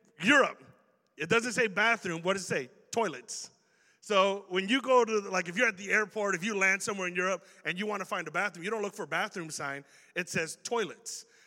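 This man's voice is high-pitched, bright and sharp in tone, raised and projected, with ordinary pitch variation. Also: fairly quick pace. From Chicago. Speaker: youth pastor. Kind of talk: sermon. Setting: church. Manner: casual, conversational.

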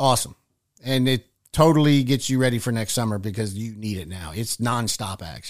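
The recording is very clean, its background silent, as a man speaks fairly quickly in a normal speaking voice. His loudness swings widely, while his pitch varies in an ordinary way. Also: medium pitch for a man. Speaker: guest. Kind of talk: casual chat. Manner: tired, storytelling.

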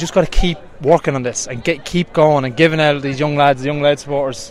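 Very fast male speech with noticeable background noise. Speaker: Gaelic football player. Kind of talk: post-match interview.

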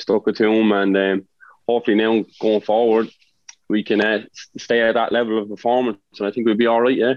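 At a fairly quick pace, a man with an Irish accent speaks at a medium pitch in a monotone, flat intonation. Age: 30s. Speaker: footballer. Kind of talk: casual chat.

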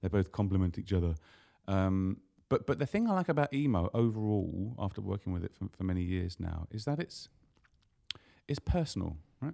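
A man with a fairly low pitch and a dark, mellow tone talks at a fairly quick pace. He takes long, frequent pauses, and the recording is very clean against a silent background. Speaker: email marketer and motorbike traveller. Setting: studio.

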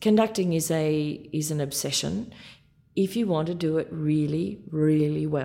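With an Australian accent, a woman speaks at a fairly slow pace in a very deep, low pitch, her tone dark and mellow and her pitch variation ordinary. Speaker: orchestra conductor. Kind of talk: interview.

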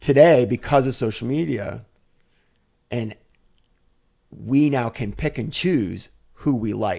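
A man talks at a very slow pace in a dark, mellow tone with vocal fry. His speech has long, frequent pauses. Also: medium pitch for a man, ordinary pitch variation. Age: 50s. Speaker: fashion influencer and model. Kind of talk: casual interview.

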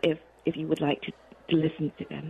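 A woman speaks with a fairly low pitch. Noticeable background noise runs behind her. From Malaysia. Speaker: author. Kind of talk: radio interview. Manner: warm, animated, laughs often.

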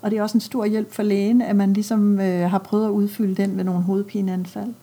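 The speaker uses a plain, everyday voice at a moderate pace. The intonation is fairly even. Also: woman. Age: 50s. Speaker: pediatrician. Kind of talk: interview. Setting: doctor's office.

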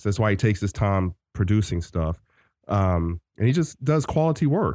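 Dry and close with no echo over a quiet background, a man with an unremarkable speaking voice talks at a moderate pace with lively intonation. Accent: American. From US South. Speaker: movie podcast co-host. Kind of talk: casual chat.

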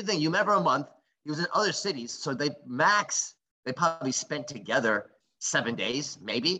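A man speaks in a bright, sharp tone, his pitch swinging very widely. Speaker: comedian and podcast co-host. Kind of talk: casual banter. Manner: relaxed, joking.

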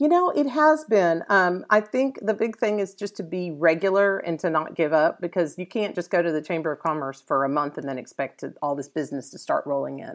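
A woman in an American accent with a normal speaking voice, fairly low in pitch, with lively intonation, a fairly quick pace and hardly any pauses, on a very clean recording with a silent background. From Dallas, Texas. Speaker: SEO instructor and consultant. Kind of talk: interview. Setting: live event with audience.

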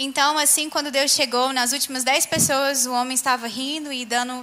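A woman's raised, projected, high-pitched voice at a very fast pace, with fairly even intonation. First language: Portuguese. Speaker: interpreter. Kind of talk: sermon interpretation. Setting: church stage with audience.

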